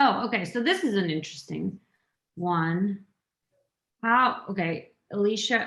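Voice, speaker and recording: A woman with a non-native accent speaks at a medium pitch with ordinary pitch variation. The background is quiet. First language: not English. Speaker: value stream panelist. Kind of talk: panel discussion.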